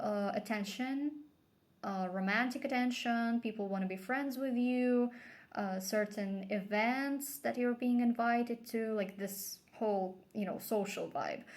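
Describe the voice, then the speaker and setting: A woman with a non-native accent, a fairly high pitch, ordinary pitch variation and a fairly slow pace. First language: not English. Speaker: tarot reader. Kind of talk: tarot reading. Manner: casual, with fillers and hesitations.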